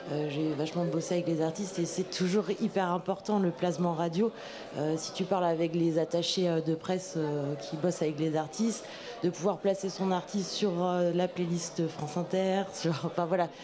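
Noticeable background noise sits behind a woman's fairly low voice. She talks at a moderate pace with fairly even intonation. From Brittany, Brest. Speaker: music venue staff. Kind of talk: panel discussion. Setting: stage with audience.

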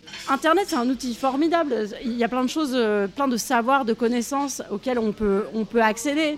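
The woman's pitch is high, with ordinary pitch variation, at a moderate pace. Noticeable background noise can be heard. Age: 40s. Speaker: feminist activist and co-author. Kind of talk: interview. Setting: café. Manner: halting.

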